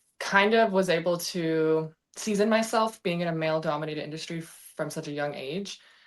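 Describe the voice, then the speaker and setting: In a Canadian accent, a woman with a very deep, low pitch speaks at a moderate pace on a very clean recording with a silent background. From western Canada, Vancouver. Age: 20s. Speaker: welder. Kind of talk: interview.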